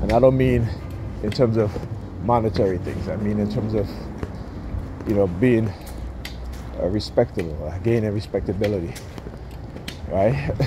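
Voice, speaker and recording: A man's fairly low voice at a moderate pace, with ordinary pitch variation, a dry sound without echo, and noticeable background noise. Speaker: vlogger. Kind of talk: angry rant. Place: street. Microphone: phone near.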